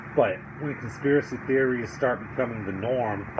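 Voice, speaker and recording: Audible room echo and noticeable background noise accompany a man as he speaks. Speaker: political commentary vlogger. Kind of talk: casual commentary monologue. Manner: stuttering, halting with fillers.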